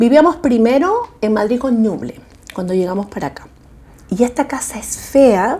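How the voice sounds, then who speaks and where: A woman talks at a moderate pace with a fairly high pitch and lively intonation. Her loudness swings widely, and she leaves long, frequent pauses. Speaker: homeowner in documentary. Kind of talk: documentary interview.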